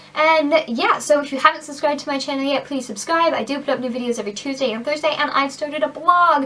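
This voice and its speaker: Through noticeable background noise, a woman uses a raised, projected voice at a high pitch, talking at a very fast pace with hardly any pauses. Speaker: beauty vlogger. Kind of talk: casual product review vlog. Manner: animated.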